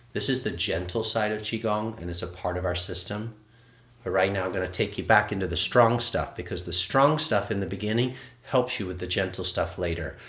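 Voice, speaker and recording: Fairly low in pitch, a man speaks at a fairly quick pace with ordinary pitch variation. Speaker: qigong instructor. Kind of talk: live online movement class. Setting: livestream. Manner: fast; animated.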